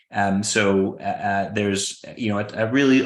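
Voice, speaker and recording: In a room with audible echo, a man speaks at a fairly low pitch. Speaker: presenter from an employee ownership organization. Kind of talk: conference presentation. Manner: fast; halting with many fillers.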